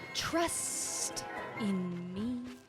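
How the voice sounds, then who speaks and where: A female-sounding put-on character voice at medium pitch for a woman, with clear music in the background. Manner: hissing, hypnotic.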